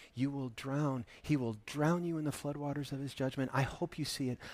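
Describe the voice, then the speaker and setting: A man with a fairly high pitch and a plain, everyday voice speaks at a moderate pace on a very clean recording with a silent background. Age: 50s. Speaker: pastor. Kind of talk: sermon.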